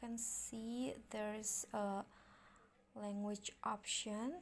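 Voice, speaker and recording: Speaking very slowly with an Indonesian accent, a woman keeps her fairly high pitch under fairly even intonation. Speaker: tutorial youtuber. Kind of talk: tutorial. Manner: halting, many fillers.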